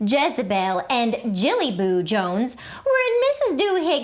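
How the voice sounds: The voice heard here reads naturally.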